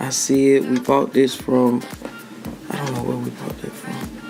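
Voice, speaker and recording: A man speaks with music in the background. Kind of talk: joking voiceover commentary. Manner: teasing, playful.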